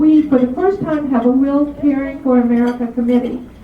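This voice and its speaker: A woman speaks at a moderate pace with fairly even intonation. Noticeable background noise and audible room echo run through the clip. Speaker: club officer making announcements. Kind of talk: meeting announcements. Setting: club meeting with audience.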